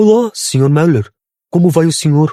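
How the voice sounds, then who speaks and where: A man puts on a character voice at a high pitch with lively intonation. His moderate pace comes through in a dry, close sound with no echo. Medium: read story. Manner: polite, businesslike.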